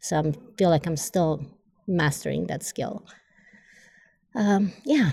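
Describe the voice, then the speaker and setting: A woman with a Polish accent speaks at a very slow pace with long, frequent pauses, her fairly low, dark, mellow voice showing vocal fry and lively intonation. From Poland. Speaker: Olympic distance runner. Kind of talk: casual interview.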